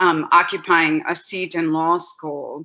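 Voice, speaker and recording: A woman with a Spanish accent, fairly low in pitch, at a fairly slow pace. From Puerto Rico. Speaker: law professor. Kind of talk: panel talk with slides.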